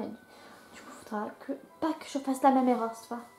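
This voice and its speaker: Music plays in the background as a woman speaks in a high voice. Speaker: gaming YouTuber. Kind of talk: let's play commentary with game text read aloud. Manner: casual, chatty.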